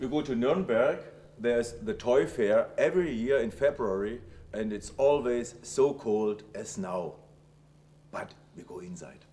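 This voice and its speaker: A man's dark, mellow voice with a German accent, lively intonation and big swings in loudness at a fairly slow pace. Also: medium pitch for a man. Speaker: TV presenter. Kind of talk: casual on-camera introduction.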